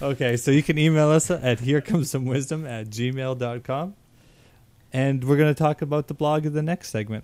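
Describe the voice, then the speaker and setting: At a fairly quick pace, a man with an unremarkable speaking voice talks at a fairly high pitch with ordinary pitch variation. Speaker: podcast co-host. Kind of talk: casual chat.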